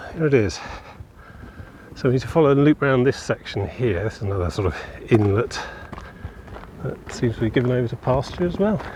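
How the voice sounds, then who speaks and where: A voice with lively intonation moves at a fairly quick pace over noticeable background noise. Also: man. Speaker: walking vlogger. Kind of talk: casual walking vlog narration. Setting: outdoors on a coastal walk. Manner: loud. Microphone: phone mic.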